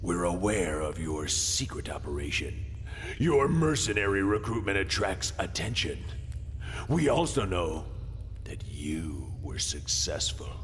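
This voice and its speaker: A put-on character voice at a fairly slow pace over clear background noise. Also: man, very deep, low pitch for a man. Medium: machinima. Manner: cold, commanding, mocking.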